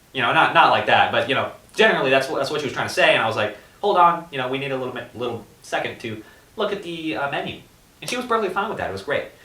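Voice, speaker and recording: A man talks at a very fast pace with a fairly high pitch and very wide pitch swings. Audible room echo and noticeable background noise surround him. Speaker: podcast co-host. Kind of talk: casual chat.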